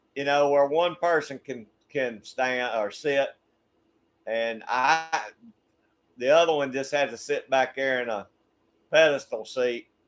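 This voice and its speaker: A man with a Southern US accent talks in a fairly high voice at a fairly slow pace. His intonation stays fairly even, broken by long, frequent pauses. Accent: Southern US (Georgia). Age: 60s. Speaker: YouTube channel host. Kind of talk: casual chat. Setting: livestream.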